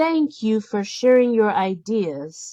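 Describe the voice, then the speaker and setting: This is a put-on character voice. Its pitch swings very widely. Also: woman. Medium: read story.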